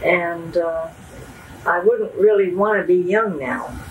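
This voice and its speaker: Noticeable background noise sits behind this recording. A woman with an American accent speaks at a very slow pace. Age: 80s+. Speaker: interviewee. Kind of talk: interview. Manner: hesitant.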